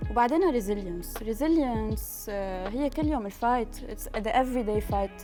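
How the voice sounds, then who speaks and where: A woman speaks with a Lebanese accent. Music plays in the background. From Lebanon. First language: Lebanese Arabic. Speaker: business founder and managing partner. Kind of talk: interview answer. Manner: code-switching between English and Arabic.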